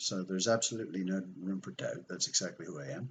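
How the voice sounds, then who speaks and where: A man with a Belfast accent speaks in a very deep, low pitch with ordinary pitch variation. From Canada, from age 13, born in Belfast. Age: 50s. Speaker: conspiracy video host. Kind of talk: personal monologue.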